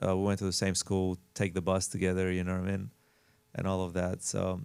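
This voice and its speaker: Speaking at a fairly quick pace, a man with an Albanian accent uses a very deep, low pitch and a monotone, flat delivery, recorded very cleanly with a silent background. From Albania, moved to Las Vegas at 14. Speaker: house flipper and realtor. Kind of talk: casual interview chat. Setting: studio. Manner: halting, many fillers.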